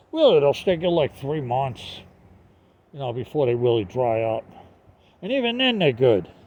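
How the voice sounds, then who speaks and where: Very wide pitch swings and long, frequent pauses, in a Northeastern US accent. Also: man, fairly high pitch for a man, moderate pace. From US Northeast. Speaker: online seller vlogger. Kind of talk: casual vlog talk. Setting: outdoors. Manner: halting, many fillers.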